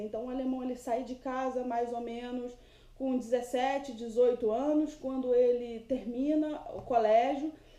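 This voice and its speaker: Her high pitch, dark, mellow tone and fairly even intonation mark this woman's speech at a fairly slow pace. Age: 30s. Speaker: vlogger. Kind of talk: casual vlog monologue.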